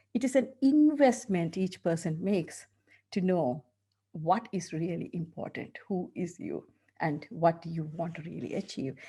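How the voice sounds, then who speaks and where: At a moderate pace and against a quiet background, a woman with a strong Sri Lankan accent speaks in a dark, mellow, somewhat breathy voice at a fairly low pitch with lively intonation. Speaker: dentist and coach. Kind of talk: interview.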